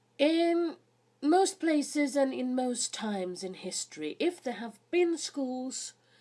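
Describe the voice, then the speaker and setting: A woman speaks at a very slow pace in a high pitch with very wide pitch swings and a dark, mellow tone, in a very clean recording with a silent background. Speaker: history video host. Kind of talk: educational talk.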